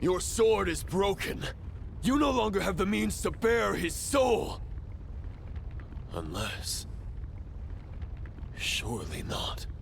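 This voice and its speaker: Over loud background noise, a man does a put-on character voice at a very slow pace. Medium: video game. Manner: formal, measured.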